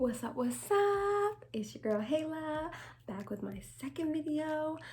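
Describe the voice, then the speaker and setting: Quiet and high-pitched, a woman speaks at a fairly slow pace with very wide pitch swings. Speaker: vlogger. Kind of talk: casual chat. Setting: at home, late night.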